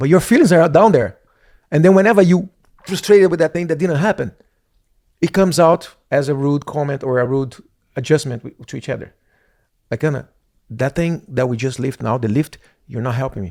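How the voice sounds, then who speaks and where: With a dark, mellow tone and fairly high pitch, this man talks at a fairly quick pace with lively intonation, broken by long, frequent pauses. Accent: Brazilian Portuguese. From Brazil. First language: Portuguese. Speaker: professional dancer and podcast co-host. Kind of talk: casual chat.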